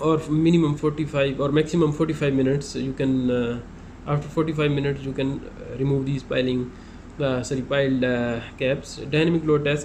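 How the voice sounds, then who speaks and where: A man's fairly high voice at a fairly quick pace, monotone and flat, with audible room echo. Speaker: construction inspector explaining site work. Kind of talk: tutorial. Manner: halting, many fillers; fast.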